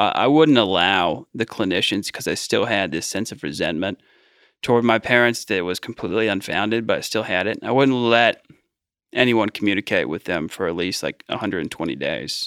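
A man with an American accent speaks at a fairly quick pace and fairly low pitch, with lively intonation and vocal fry. The recording is very clean with a silent background and a dry, close sound with no echo. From US Midwest, Cincinnati Ohio. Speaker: addiction recovery leader. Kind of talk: interview testimony.

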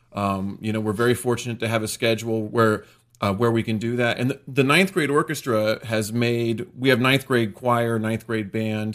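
A man with an American accent and an ordinary speaking voice talks at a moderate pace and medium pitch, with ordinary pitch variation and hardly any pauses. The recording is very clean, with a silent background. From central Pennsylvania. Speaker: high school orchestra director. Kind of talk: casual interview.

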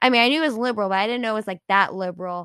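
A woman's fairly high-pitched voice with an animated tone and ordinary pitch variation, in a dry, close sound with no echo. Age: 20s. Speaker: podcast host and content creator. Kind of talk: casual monologue.

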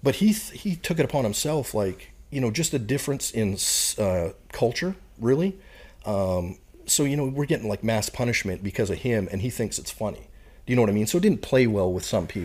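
A man with a Canadian prairie accent, lively intonation and a fairly quick pace, on a very clean recording with a silent background. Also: medium pitch for a man. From Canada, Saskatchewan prairies. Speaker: retired Marine bomb disposal technician and professor. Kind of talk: casual interview chat.

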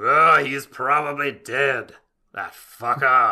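Putting on a character voice, a man talks at a very slow pace with a fairly high pitch. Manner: crude, dismissive.

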